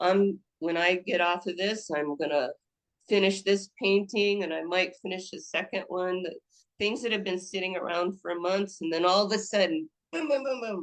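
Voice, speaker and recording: At a moderate pace, a woman speaks at medium pitch. Her pitch moves in an ordinary way. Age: 60s. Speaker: actress and painter. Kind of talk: podcast interview. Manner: halting, many restarts.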